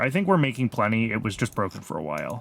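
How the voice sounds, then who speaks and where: An unremarkable speaking voice with an American accent carries lively intonation. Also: man. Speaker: video game streamer. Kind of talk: live gameplay commentary. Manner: casual, thinking aloud with fillers.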